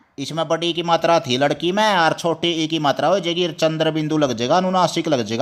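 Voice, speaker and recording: This speaker has a Haryana accent and fairly even intonation. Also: man. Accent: Haryanvi. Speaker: teacher. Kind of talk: lesson for children.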